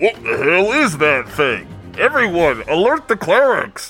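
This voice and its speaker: Faint music plays in the background as a put-on character voice speaks at a middle pitch and a fairly slow pace. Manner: shouting, alarmed.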